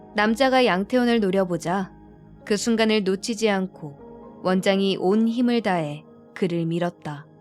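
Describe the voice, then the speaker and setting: Music plays in the background as the speaker goes at a very slow pace. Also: woman. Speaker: audiobook narrator, actress. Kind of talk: audiobook narration of a thriller novel, bedtime listening. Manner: soft, ASMR-style.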